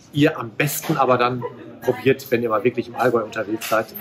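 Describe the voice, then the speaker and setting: A man is speaking. There is light background noise behind him. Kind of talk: product presentation to camera. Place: shop. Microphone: phone near.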